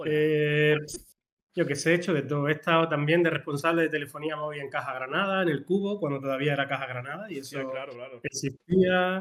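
Speaking at a fairly quick pace, a man uses a normal speaking voice with fairly high pitch and fairly even intonation. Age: 40s. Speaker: small business co-founder, media producer. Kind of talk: casual chat.

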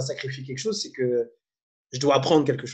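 Somewhat breathy, a man speaks in an animated tone with ordinary pitch variation. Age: 30s. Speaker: coach and former musician. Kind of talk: interview.

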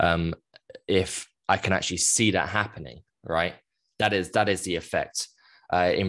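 A man with a British accent speaks at a moderate pace in a very deep, low pitch. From UK. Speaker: coach and charity founder. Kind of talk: interview about personal abuse story.

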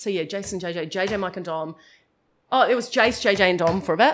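Here is a woman with a New Zealand accent and a medium pitch. She talks at a very fast pace. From New Zealand, New Plymouth. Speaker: radio host. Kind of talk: casual chat.

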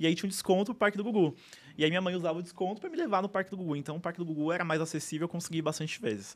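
A man's high voice moves with ordinary pitch variation. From São Paulo, Brazil. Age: 20s. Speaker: theme park enthusiast. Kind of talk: interview. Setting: studio.

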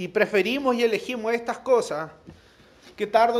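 Moderate pace from a man, with ordinary variation in pitch. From Chile, La Serena. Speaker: preacher. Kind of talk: sermon. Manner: halting, with repetitions.

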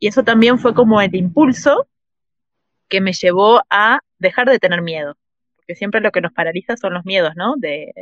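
A woman's plain, everyday voice: a plain, everyday voice at medium pitch, moderate pace and lively intonation, dry, close sound with no echo. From Uruguay. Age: 40s. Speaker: traveller and writer. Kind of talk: interview.

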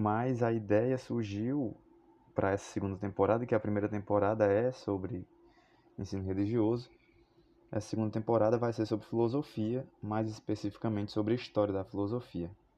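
A man's fairly low, dark and mellow voice at a fairly quick pace, flat and monotone, over a quiet background. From Fortaleza, Ceará, Brazil. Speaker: philosophy teacher. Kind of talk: podcast monologue, educational. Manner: hesitant, with fillers and repetitions.

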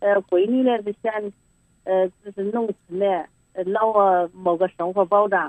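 A woman at a very slow pace, medium-pitched, with fairly even intonation, in a dry, close sound with no echo. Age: 60s. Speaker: caller to advice hotline. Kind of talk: phone-in advice call. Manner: halting, repetitive.

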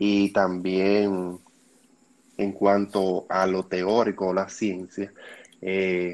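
A man talks with a Dominican accent in a fairly low pitch. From Dominican Republic. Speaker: dental student, podcast co-host. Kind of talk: casual chat.

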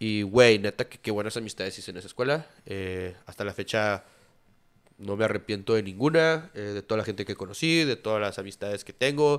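In a very clean recording with a silent background, a man with a normal speaking voice and fairly low pitch talks at a fairly quick pace, with ordinary pitch variation and big swings in loudness. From Durango, northern Mexico. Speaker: graphic designer and hospitality manager. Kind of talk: casual chat.

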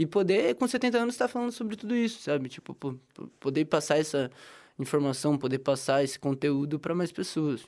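With very wide pitch swings and a fairly quick pace, a man speaks in a fairly high voice on a very clean recording with a silent background. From interior of São Paulo state, Brazil. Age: 20s. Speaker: journalism student. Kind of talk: casual interview.

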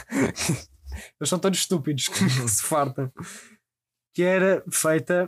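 This is a man speaking. He has a European Portuguese accent. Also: dry, close sound with no echo. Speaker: podcast host. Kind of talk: casual chat.

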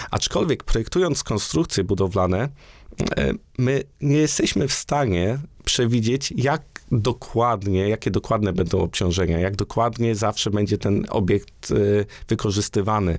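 A man talks in a plain, everyday voice, fairly low in pitch, with lively intonation and a fairly slow pace. His loudness stays very even on a very clean recording with a silent background. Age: 30s. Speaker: engineer and university researcher. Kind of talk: interview. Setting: studio.

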